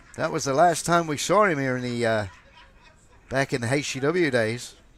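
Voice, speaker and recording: The voice moves at a moderate pace with ordinary pitch variation. Noticeable background noise sits behind it. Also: man, fairly high pitch for a man. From US South, Georgia. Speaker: wrestling commentator. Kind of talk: live commentary. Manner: animated.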